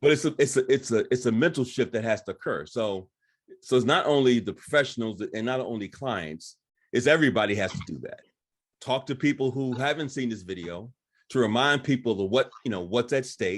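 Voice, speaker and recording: Here a man with an unremarkable speaking voice talks at a fairly quick pace, with a medium pitch and ordinary pitch variation. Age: 60s. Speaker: counselor. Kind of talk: panel discussion.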